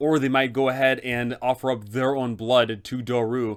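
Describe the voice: Text read aloud plainly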